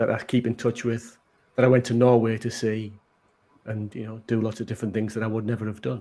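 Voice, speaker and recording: The voice has a Teesside accent, vocal fry and a dark, mellow tone. It moves at a fairly quick pace. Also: man. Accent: Middlesbrough (Teesside) accent, recognisable. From northern England, Middlesbrough. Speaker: maker. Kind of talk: casual chat.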